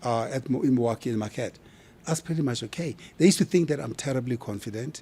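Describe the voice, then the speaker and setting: A man with a South African accent at a very fast pace, medium in pitch, dark, mellow and somewhat breathy in tone, with ordinary pitch variation. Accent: South African accent, kept. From South Africa, Kimberley. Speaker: brand expert. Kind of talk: interview conversation. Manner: animated.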